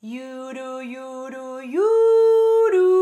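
This put-on character voice sits at a high pitch and swings very widely up and down. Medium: read story. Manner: sing-song calling.

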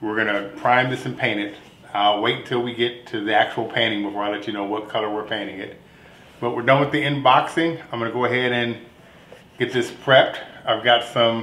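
A man talks at a fairly quick pace with fairly even intonation, and room echo is audible. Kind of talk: casual tutorial vlog. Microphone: phone near.

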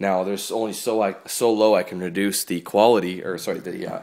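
Man with a plain, everyday voice, fairly low pitch, fairly even intonation and fairly quick pace, in a quiet background. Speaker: gaming channel host. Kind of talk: casual unboxing chat. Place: home room.

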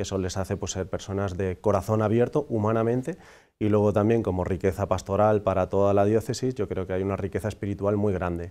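A man talks with a fairly low pitch. His tone is dark and mellow, his intonation fairly even. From Andalusia, Huelva; Andalusia. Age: 40s. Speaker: priest; priest guest. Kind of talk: interview. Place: studio. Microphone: lapel.

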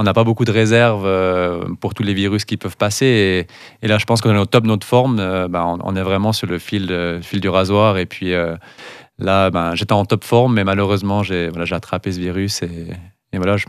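A man speaks at a moderate pace and a fairly low pitch, with fairly even intonation. The background is quiet and the sound is dry with no echo. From Valais, Switzerland; Switzerland. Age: 30s. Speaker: cross-country skier; guest. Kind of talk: interview. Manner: halting, repeats words. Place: studio. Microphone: studio mic.

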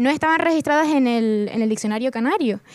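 A woman with a high pitch talks at a fairly quick pace and an ordinary amount of pitch variation, the sound dry with no echo and the background quiet. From Canary Islands, Tenerife; Canary Islands. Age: 20s. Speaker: writer and journalist; panelist. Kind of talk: panel discussion. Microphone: handheld.

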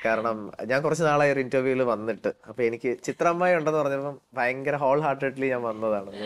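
Medium in pitch with ordinary pitch variation, a man talks in an unremarkable speaking voice. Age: young. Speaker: playback singer. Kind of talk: interview.

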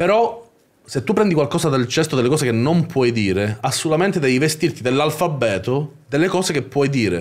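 In very even loudness, a man speaks with a fairly high pitch that swings very widely. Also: fairly quick pace. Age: 30s. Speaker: YouTuber. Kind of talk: casual chat. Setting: livestream. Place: studio. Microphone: studio mic.

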